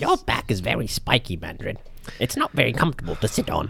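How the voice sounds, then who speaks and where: A man at medium pitch does a put-on character voice at a fairly quick pace. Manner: chatty, naive, cheerful.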